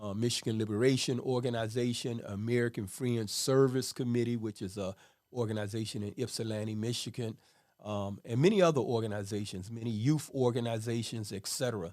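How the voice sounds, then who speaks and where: A man's medium-pitched voice at a fairly quick pace with fairly even intonation, in a very clean recording with a silent background. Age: 60s. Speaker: formerly incarcerated social worker. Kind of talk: testimony. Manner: hesitant with fillers.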